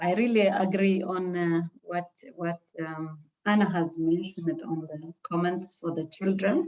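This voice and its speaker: A woman talks fairly slowly in a fairly low voice, her intonation fairly even. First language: not English. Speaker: trainee presenter. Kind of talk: feedback discussion.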